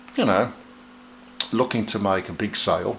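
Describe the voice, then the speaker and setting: Speech at a moderate pace, noticeable background noise behind it. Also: man. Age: 60s. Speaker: musician and guitar video maker. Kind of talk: casual to-camera tutorial. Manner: chatty, animated.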